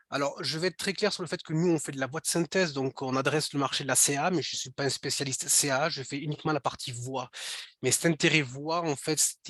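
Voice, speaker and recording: A man with a fairly high pitch speaks in a bright, sharp tone at a fairly quick pace with fairly even intonation. The sound is dry and close with no echo. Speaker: speech technology product developer presenting. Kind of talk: webinar presentation. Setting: online webinar. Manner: halting, many fillers and repetitions.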